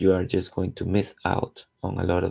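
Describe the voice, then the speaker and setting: With a Latin American accent, a man speaks at a fairly slow pace. His very deep, low voice has a dark, mellow tone. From Costa Rica. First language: Spanish. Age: 40s. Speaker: comic book artist. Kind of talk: casual narration while drawing. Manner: halting, with filler sounds.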